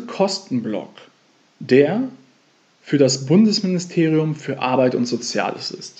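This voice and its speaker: A man speaks at a very slow pace, somewhat breathy. His pitch swings very widely. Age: 30s. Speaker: financial coach and podcast host. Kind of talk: solo podcast monologue.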